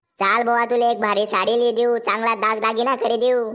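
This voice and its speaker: A woman's cartoonish character voice, fairly high-pitched, monotone and flat, at very even loudness. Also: moderate pace. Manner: teasing, argumentative.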